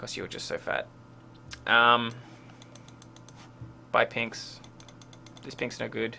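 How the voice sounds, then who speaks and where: A man mumbles. His pace is moderate. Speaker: game coach reviewing a replay. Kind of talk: gameplay replay review commentary. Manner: mumbling; hesitant, many fillers.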